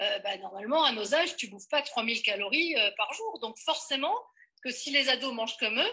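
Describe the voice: At a fairly quick pace, a woman talks in a fairly high pitch with a bright, sharp tone, a slightly husky edge, and lively intonation.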